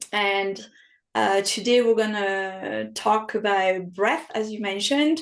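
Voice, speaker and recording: Very slowly and with a French accent, a woman speaks at a medium pitch with ordinary pitch variation. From France. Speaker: health and wellness coach. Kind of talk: podcast interview.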